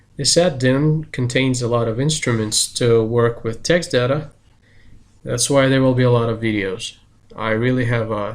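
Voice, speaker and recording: At a fairly slow pace, a man speaks with fairly even intonation. His pitch is medium. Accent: Russian. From Russia. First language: Russian. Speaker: search engine marketing specialist and software developer. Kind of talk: channel introduction.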